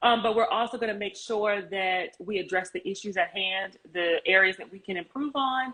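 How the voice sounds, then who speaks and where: Against noticeable background noise, a woman's voice shows big swings in loudness. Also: medium pitch for a woman, ordinary pitch variation, moderate pace, hardly any pauses. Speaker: criminal justice worker. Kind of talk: personal testimony. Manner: quiet.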